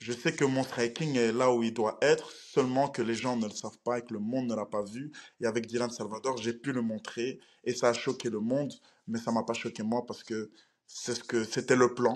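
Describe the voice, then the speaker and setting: A man's medium-pitched voice, monotone and flat, at a moderate pace against a quiet background. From Belgium. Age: 20s. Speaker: professional MMA fighter. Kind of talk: interview.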